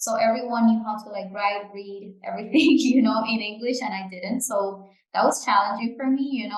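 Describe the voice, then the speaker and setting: At a fairly quick pace, a woman with a non-native accent speaks at a fairly high pitch with fairly even intonation. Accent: noticeable but clear foreign. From Canary Islands, Spain (Gran Canaria). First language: Japanese and Spanish. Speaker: podcast co-host, product manager. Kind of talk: casual chat.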